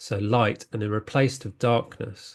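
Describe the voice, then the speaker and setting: A man talks at a medium pitch. The background is quiet. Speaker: spiritual guide. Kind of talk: spiritual monologue. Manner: fast; halting.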